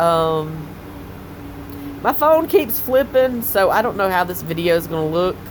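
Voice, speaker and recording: Over noticeable background noise, a woman with a Southern US accent speaks at a fairly slow pace, her pitch swinging very widely. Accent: Southern US drawl. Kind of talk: casual talk to camera.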